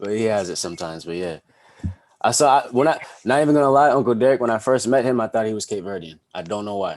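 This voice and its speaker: With an American accent, a man talks at a very fast pace in a medium pitch, his intonation lively against a quiet background. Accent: sounds fully American. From Boston, US, Montserratian family. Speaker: podcast host. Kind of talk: casual chat.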